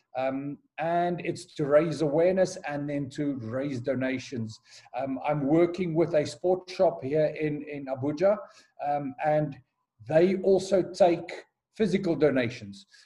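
A man's voice comes across with a dark, mellow tone and a somewhat breathy quality. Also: fairly high pitch for a man, ordinary pitch variation, fairly slow pace. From South Africa, Johannesburg. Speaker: headmaster and charity runner. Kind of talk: interview. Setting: call.

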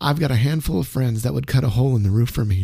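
A somewhat breathy voice of dark, mellow tone and lively intonation, on a very clean recording with a silent background. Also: man. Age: 50s. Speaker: radio disc jockey. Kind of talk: casual chat.

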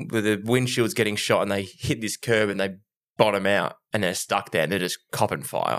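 The recording is very clean, with a silent background. A man with an Australian accent speaks at a fairly low pitch with ordinary pitch variation. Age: 30s. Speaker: podcast co-host. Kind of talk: casual chat. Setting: studio.

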